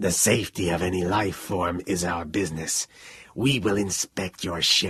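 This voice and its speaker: A man's raspy put-on character voice, very deep and low in pitch, at a moderate pace. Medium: read story. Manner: calculating monotone.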